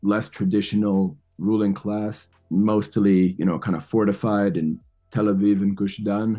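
A man with a New York accent speaks at a fairly slow pace and a fairly low pitch. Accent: New York American. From New York City. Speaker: podcast host. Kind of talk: interview conversation.

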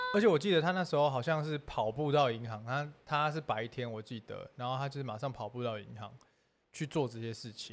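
A man's ordinary speaking voice at medium pitch, with ordinary pitch variation, big swings in loudness and a fairly quick pace. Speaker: entertainer, scam victim sharing story. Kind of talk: casual livestream chat. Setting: livestream studio.

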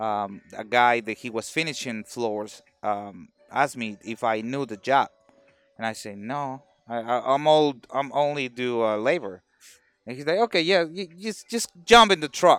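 On a very clean recording with a silent background, a man with a Mexican accent speaks at a fairly slow pace, his medium pitch showing ordinary variation and his loudness swinging widely. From Mexico, Veracruz. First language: Spanish. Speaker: carpenter. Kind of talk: casual chat. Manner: halting.

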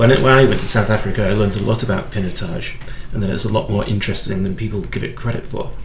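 Fairly low in pitch, a man talks with fairly even intonation amid noticeable background noise. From UK. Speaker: podcast host and wine educator. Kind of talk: interview.

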